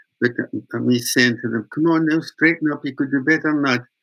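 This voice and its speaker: In a northeast Scottish accent, a man speaks at a moderate pace with ordinary pitch variation. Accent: Scottish, Doric (northeast Scots). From Scotland, Aberdeenshire. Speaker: master weaver and folk singer. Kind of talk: storytelling interview. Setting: remote call. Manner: animated storyteller.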